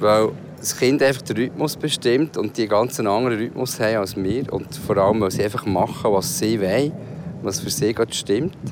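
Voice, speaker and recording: Noticeable background noise sits behind a man talking at a moderate pace. His voice is medium in pitch with ordinary pitch variation. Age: 50s. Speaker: co-host and father. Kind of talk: casual chat.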